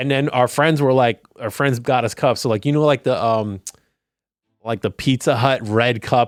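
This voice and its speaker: In a dry, close recording with no echo and a very clean, silent background, a man speaks in a plain, everyday voice at medium pitch and a moderate pace, his intonation fairly even. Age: 40s. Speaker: podcast co-host. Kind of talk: casual chat.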